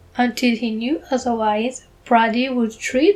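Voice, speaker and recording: In a fairly high register, a woman talks with intonation that stays mostly level. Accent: strong non-native. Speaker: book reader. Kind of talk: reading aloud; casual aside.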